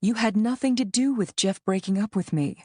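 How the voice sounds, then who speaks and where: A female-sounding put-on character voice at a medium pitch and moderate pace, against a quiet background. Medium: read story.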